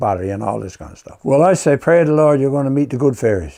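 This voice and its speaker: A man with a Newfoundland accent, talking at a very fast pace. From Newfoundland, Canada. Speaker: artist and storyteller. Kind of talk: folk tale storytelling.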